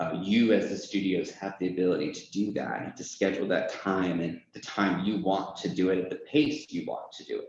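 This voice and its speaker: With an unremarkable speaking voice, a fairly low-pitched man speaks at a moderate pace, with ordinary pitch variation and big swings in loudness. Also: hardly any pauses. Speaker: software onboarding lead. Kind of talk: company presentation. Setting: presentation to audience.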